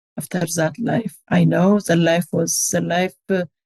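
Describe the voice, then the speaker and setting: Slowly, very slowly, a woman speaks with an Ethiopian accent and ordinary pitch variation. The sound is dry and close, with no echo. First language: Amharic. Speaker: charity co-founder. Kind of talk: testimony. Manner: halting.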